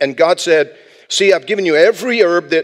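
Over a quiet background, a man talks at a fairly quick pace in a high pitch with ordinary pitch variation. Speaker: pastor. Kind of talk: sermon. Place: church. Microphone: headset.

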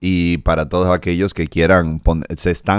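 A man with a Dominican accent speaks in a dry sound with no echo. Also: quiet background. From Dominican Republic. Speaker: comedian and podcast host; comedian, podcast host. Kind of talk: casual interview chat. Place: studio. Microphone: studio mic.

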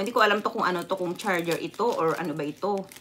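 A woman speaks in an animated tone at a fairly quick pace. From Visayas, Philippines. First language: Visayan (speaking Tagalog). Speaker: vlogger. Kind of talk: casual livestream chat. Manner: animated, frequent laughter. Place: home room. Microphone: phone near.

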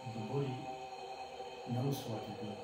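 A man's voice with audible room echo and music in the background. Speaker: yoga or movement teacher. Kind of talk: guided class instruction. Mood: calm, slow. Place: home room. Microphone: camera far.

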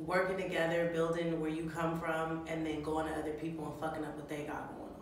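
The speech moves at a fairly quick pace, with audible room echo and light background noise. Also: woman. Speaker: vlogger, comedian. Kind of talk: casual slang, profane. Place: home room. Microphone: camera far.

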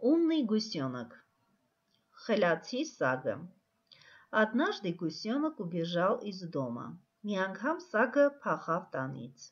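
Vocal fry and very wide pitch swings at a very slow pace, broken by long, frequent pauses. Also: woman, medium pitch for a woman. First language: Armenian (speaking Russian). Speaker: teacher. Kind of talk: tutorial; reading aloud.

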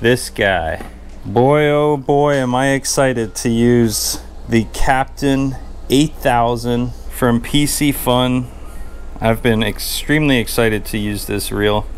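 With music in the background, a man talks at a very slow pace. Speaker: fishing channel host. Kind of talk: casual vlog chat. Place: workshop. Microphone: phone near.

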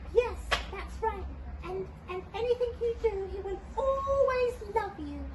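A cartoonish character voice that sounds female hits an extremely high pitch over loud background noise. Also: fairly slow pace. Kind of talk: children's puppet skit. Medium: puppet. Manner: warm, reassuring.

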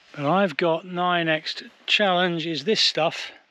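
Dry sound with no echo, from a man. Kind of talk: casual vlog chat. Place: garden. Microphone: phone near.

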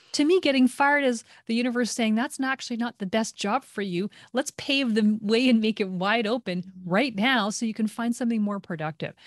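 Over a quiet background, a woman speaks at a fairly high pitch with a dry sound and no echo. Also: ordinary pitch variation, fairly quick pace. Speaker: breathwork instructor. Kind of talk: casual interview chat. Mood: calm, warm. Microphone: video call.

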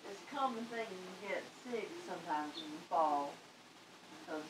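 A woman speaks fairly slowly while noticeable background noise plays. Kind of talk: casual vlog chat. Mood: light, laughing. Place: kitchen. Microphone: camera far.

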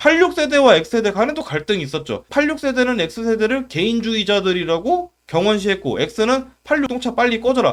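On a very clean recording with a silent background, a man with an extremely high pitch speaks at a fairly slow pace in an animated tone, with very wide pitch swings and hardly any pauses. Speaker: YouTube commentator. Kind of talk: comedic commentary monologue.

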